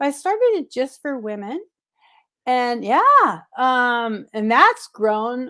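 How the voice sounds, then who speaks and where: Raising and projecting her voice, a woman with an American accent speaks very slowly at a high pitch with very wide pitch swings. The recording is very clean, with a silent background. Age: 70s. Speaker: travel vlogger. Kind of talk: interview.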